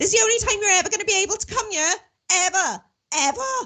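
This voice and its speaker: The speaker uses a put-on character voice. The delivery comes at a very fast pace. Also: woman, extremely high pitch for a woman. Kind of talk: scolding, emphatic.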